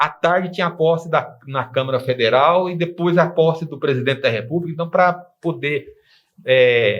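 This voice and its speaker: A man's fairly high, somewhat breathy voice moves at a moderate speed, its pitch shifting in a normal way. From Brazil, Anápolis, Goiás. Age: 60s. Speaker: lawyer. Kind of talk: TV interview. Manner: halting, self-correcting.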